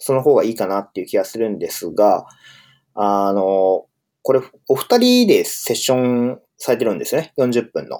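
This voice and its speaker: A man speaks in a very clean recording with a completely silent background. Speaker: podcast host, software engineer. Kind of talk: solo casual monologue. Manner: hesitant, many fillers.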